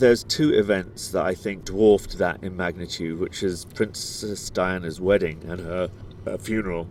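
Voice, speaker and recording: This man has a very deep, low voice and a British accent. His intonation stays fairly even at a moderate pace. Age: 40s. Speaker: podcast co-host. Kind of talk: casual chat. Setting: outdoors.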